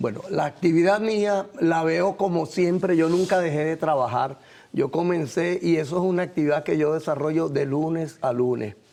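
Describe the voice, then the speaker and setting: Dark, mellow tone at a moderate pace, with very even loudness and ordinary pitch variation. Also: man, fairly high pitch for a man. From Venezuela, Caracas. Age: 60s. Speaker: visual artist. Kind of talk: TV interview.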